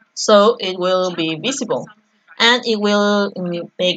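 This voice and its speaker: A woman speaks in a Spanish accent. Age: 30s. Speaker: artist and drawing teacher. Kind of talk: live-stream painting tutorial. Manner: halting.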